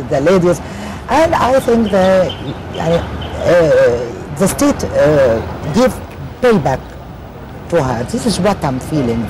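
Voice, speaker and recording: A woman speaks at a very slow pace, her pitch fairly low. The sound is dry with no echo, though background noise is noticeable. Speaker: interview guest. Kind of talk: interview answer. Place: boat. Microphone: lapel.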